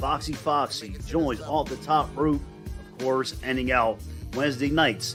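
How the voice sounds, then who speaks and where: The delivery is energetic yet fairly slow, with music playing in the background. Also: man. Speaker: podcast host. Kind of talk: show intro promo read. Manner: hyped, energetic.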